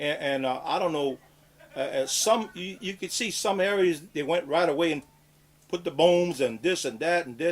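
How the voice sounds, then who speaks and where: A high-pitched man talks at a moderate pace with ordinary pitch variation as noticeable background noise carries on. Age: 60s. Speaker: fisherman. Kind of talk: interview.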